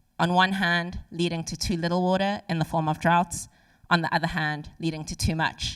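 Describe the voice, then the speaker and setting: A fairly quick voice in a South African accent, on a very clean recording with a silent background. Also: woman. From South Africa, Cape Town. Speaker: civil engineer, climate and water specialist. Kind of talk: conference speech. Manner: formal.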